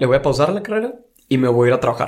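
The speaker has a Monterrey accent. The intonation is lively. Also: man. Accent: Monterrey accent, posh-sounding. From Monterrey, Mexico. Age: 20s. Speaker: university student. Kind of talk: casual chat.

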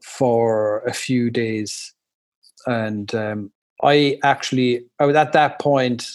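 A man speaks with an Irish accent. His pitch variation is ordinary. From Ireland. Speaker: English teacher living abroad, new father. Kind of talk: casual interview. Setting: remote call.

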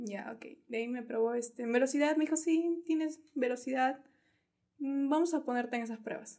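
High pitch from a woman, dark and mellow in tone. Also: ordinary pitch variation, moderate pace, big swings in loudness. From Peru, La Joya district (Arequipa). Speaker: athlete and pageant contestant. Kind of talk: casual chat.

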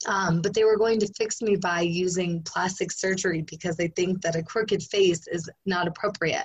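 A woman with a medium pitch and fairly even intonation talks at a moderate pace while noticeable background noise carries on. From rural area. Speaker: endurance athlete and life coach. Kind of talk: interview.

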